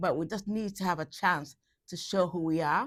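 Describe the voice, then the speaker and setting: A woman with a Leeds accent talks at a fairly quick pace. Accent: Leeds Yorkshire English. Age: 60s. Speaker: community arts organiser. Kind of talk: interview testimony.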